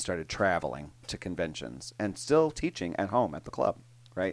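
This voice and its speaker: On a very clean recording with a silent background, a man talks with lively intonation and vocal fry. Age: 50s. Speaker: podcast co-host and line dance instructor. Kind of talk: casual chat.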